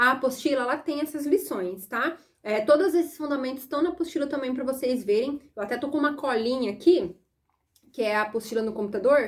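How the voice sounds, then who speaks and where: The speaker has a Brazilian accent and an animated tone. Delivery is fairly quick, with lively intonation. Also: woman, high pitch for a woman. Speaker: sewing and pattern-making teacher. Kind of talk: online lesson. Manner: fast.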